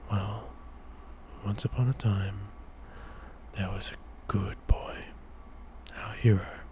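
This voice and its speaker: A soft-spoken man whispering at a very slow pace, with long, frequent pauses and noticeable background noise. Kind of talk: ASMR bedtime story. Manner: whispered, soft-spoken.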